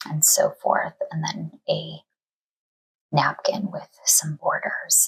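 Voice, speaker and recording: A soft-spoken woman talks very slowly, leaving long, frequent pauses. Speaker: cross stitch YouTuber (flosstube). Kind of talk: casual talk to camera, craft book flip-through.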